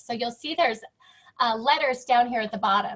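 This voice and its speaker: A woman speaks loudly at a high pitch with ordinary pitch variation. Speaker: interior designer. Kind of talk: presentation. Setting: video call.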